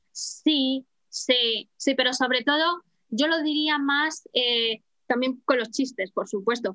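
At a very slow pace, a woman with high pitch and a bright, sharp tone uses a raised, projected voice with ordinary pitch variation, the sound dry and close with no echo. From Spain, Madrid. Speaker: flight attendant and language teacher. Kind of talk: casual interview.

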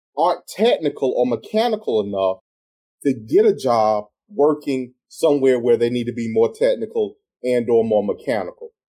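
At a moderate pace, a man speaks in a South Carolina accent with a dark, mellow tone. His medium-pitched voice swings very widely in pitch. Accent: US Southern, South Carolina. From South Carolina, tobacco country. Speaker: radio show host and real estate broker. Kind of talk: radio talk show interview. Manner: animated.

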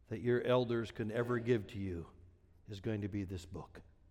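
A man with an American accent talks at a moderate pace in a dark, mellow tone. There is audible room echo. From Wisconsin, US Midwest. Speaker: pastor. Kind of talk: sermon. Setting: church.

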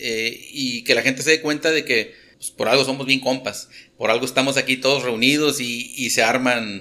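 With a northern Mexican accent, a man speaks at a moderate pace and medium pitch, his tone bright and sharp and his intonation fairly even. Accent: northern Mexican (regio) Spanish. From Monterrey, northern Mexico. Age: 40s. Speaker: industrial operations manager. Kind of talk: casual chat. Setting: cantina.

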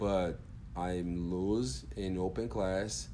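A man speaks very slowly in a Portuguese accent. His tone is dark and mellow. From Brazil, Brasilia. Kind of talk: casual interview. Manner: soft-spoken; halting.

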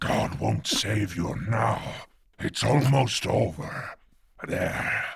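At a very slow pace, a man speaks at a fairly low pitch with very wide pitch swings. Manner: menacing, exultant.

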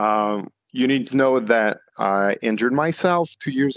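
Medium-pitched male speech in a French accent, at a fairly slow pace. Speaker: canoe racer. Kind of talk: casual podcast interview. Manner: halting.

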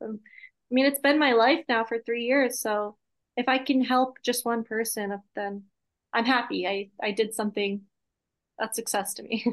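With an American accent, a woman speaks at a moderate pace and fairly high pitch, with fairly even intonation over a quiet background. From Massachusetts. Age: 20s. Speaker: content creator. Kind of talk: podcast interview.

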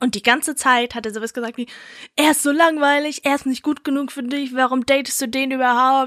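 A woman's high-pitched, monotone voice with flat intonation, at a fairly quick pace, in a dry, close sound with no echo. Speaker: podcast co-host. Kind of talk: casual chat. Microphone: new microphone.

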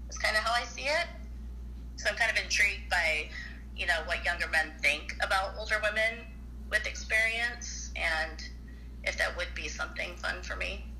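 With audible room echo and noticeable background noise, a woman talks at a moderate pace, leaving long, frequent pauses. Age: 40s. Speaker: caller. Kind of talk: casual call-in chat.

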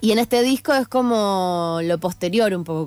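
A woman speaks with music in the background. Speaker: singer-songwriter and producer. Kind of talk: radio interview. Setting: radio studio. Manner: halting, many fillers.

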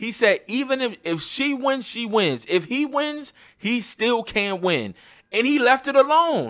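A man talks at a fairly slow pace in an extremely high pitch. His intonation is lively. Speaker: podcast host. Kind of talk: casual chat. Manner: stuttering at times.

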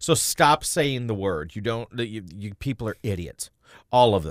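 In a very clean recording with a silent background, a man speaks at a medium pitch. He has an ordinary speaking voice and lively intonation. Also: dry, close sound with no echo. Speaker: radio co-host. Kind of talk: angry political rant. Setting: radio studio broadcast.

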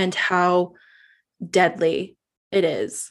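Hers is an unremarkable speaking voice in a Canadian accent, medium in pitch with fairly even intonation. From Northwest Territories, Canada. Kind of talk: interview.

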